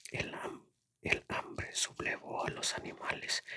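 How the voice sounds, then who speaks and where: Whispering at a fairly slow pace. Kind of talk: novel reading. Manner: whispered.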